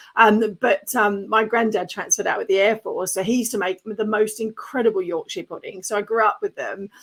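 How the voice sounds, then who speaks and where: A woman's very fast, animated voice at fairly high pitch, in an Australian accent. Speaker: podcast host and business coach. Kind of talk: casual interview chat.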